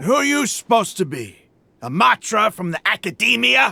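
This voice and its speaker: A man's raised, projected, put-on character voice, high-pitched with very wide pitch swings, at a moderate pace in a dry, close sound with no echo. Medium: video game. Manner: mocking, brash.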